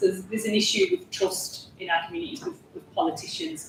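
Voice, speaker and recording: Her pitch swings very widely as she speaks at a fairly quick pace. Noticeable background noise sits behind this woman. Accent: strong Yorkshire. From Yorkshire, Huddersfield. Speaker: parliamentary candidate. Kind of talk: panel discussion.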